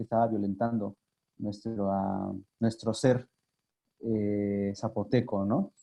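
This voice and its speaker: Speaking very slowly in a fairly low voice, a man has an Oaxacan accent. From Mexico, Sierra Norte de Oaxaca (Yagavila). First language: Zapotec (speaking Spanish). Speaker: language activist and communicator. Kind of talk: interview. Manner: halting, many fillers.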